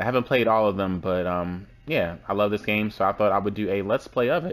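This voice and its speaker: Quiet male speech at a fairly quick pace. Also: fairly low pitch for a man, ordinary pitch variation. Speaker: let's play gamer. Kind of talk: casual gameplay commentary. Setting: low-quality home recording.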